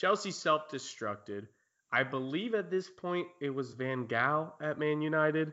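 This is a normal speaking voice with lively intonation. It goes at a fairly slow pace. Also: man. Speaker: podcast host. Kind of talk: casual chat.

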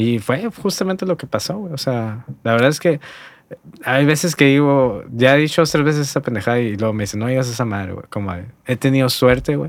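A man speaks at a fairly quick pace with medium pitch and lively intonation. He has a plain, everyday voice. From Hermosillo, Sonora, northern Mexico. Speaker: graphic designer and lettering artist. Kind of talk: casual chat. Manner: relaxed, slangy.

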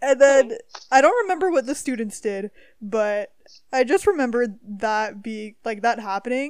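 A woman speaks at a moderate pace with a Canadian accent and a fairly high pitch. She has an ordinary speaking voice with lively intonation and big swings in loudness. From Ontario, Canada. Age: 20s. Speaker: podcast host. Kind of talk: casual chat.

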